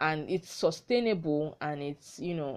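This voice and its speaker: Against a quiet background, a woman with a southwestern Nigerian accent speaks at a very deep, low pitch. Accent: Nigerian (Yoruba-area) English. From southwest Nigeria. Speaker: podcast host. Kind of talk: solo educational talk. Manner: halting, with many fillers.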